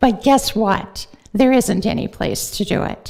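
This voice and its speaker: A woman's dark, mellow voice, fairly high in pitch, at a very slow pace. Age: 70s. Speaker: volunteer who feeds the homeless, public commenter. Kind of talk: public comment at city council meeting. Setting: city council chamber.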